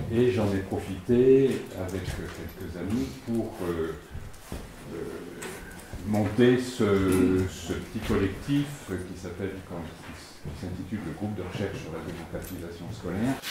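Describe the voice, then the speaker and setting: A man with a very deep, low pitch talks at a very slow pace, using ordinary pitch variation and big swings in loudness. Long, frequent pauses, audible room echo and noticeable background noise fill the clip. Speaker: retired sociologist. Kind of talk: lecture. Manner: halting.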